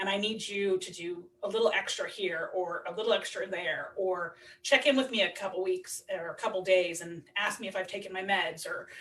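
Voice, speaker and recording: A loud woman's voice at medium pitch and a moderate pace. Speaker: recovering alcoholic, single mother. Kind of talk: podcast interview.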